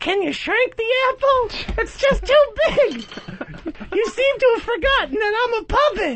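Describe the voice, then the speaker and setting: A put-on character voice delivers its lines with long, frequent pauses. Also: man, extremely high pitch for a man, moderate pace. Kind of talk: radio show banter.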